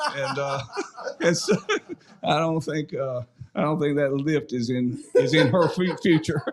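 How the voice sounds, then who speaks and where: A man with an eastern North Carolina accent speaks at a fairly slow pace in a fairly high pitch, with ordinary pitch variation, long, frequent pauses, and noticeable background noise. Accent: Southern US (eastern North Carolina). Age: 60s. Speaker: former high school football player. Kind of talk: casual chat. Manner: halting, many repeated words.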